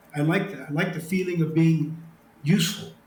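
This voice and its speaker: Recorded with audible room echo, a man speaks with an American accent, a fairly high pitch and fairly even intonation. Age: 70s. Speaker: retired special forces officer and author. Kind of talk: interview. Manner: hesitant, many fillers.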